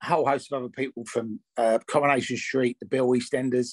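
The background is quiet. A man talks in a flat monotone. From England. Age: 50s. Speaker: actor and former rave promoter. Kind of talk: interview. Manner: hesitant, many fillers. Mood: relaxed, chatty. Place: home room. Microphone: webcam.

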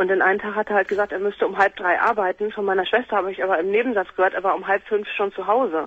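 The speech moves at a very fast clip, with hardly any pauses and fairly even intonation. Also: woman, medium pitch for a woman. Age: 20s. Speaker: caller. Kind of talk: phone-in call.

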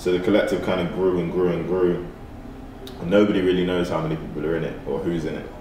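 The delivery is very fast yet broken by long, frequent pauses. Room echo is audible, along with light background noise. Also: man, very deep, low pitch for a man. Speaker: musician and artist. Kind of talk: casual interview.

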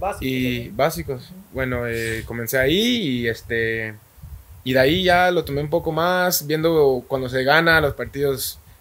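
Speaking fairly slowly, a man uses a fairly high pitch. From Guatemala, Guastatoya. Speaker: professional footballer. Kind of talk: interview. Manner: halting.

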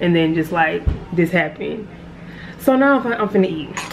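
Very fast speech over noticeable background noise. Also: woman. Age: 20s. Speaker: lifestyle vlogger. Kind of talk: casual vlog talk to camera. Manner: animated. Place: kitchen. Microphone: phone near.

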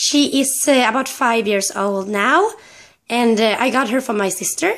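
A woman speaks with a Swedish accent. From Sweden. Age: 20s. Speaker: pet owner vlogger. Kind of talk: casual talk to camera. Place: home room. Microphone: phone near.

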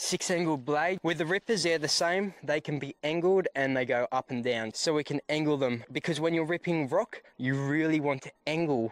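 Here a man speaks at a moderate pace with ordinary pitch variation, the sound dry with no echo. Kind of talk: casual tutorial walkthrough. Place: open country. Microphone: phone near.

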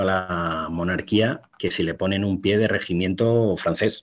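A man talks at a fairly slow pace, his pitch varying in an ordinary way, with a quiet background behind him. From Spain. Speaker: military historian; guest. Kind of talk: interview talk on history. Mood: relaxed, explanatory. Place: home room. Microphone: webcam.

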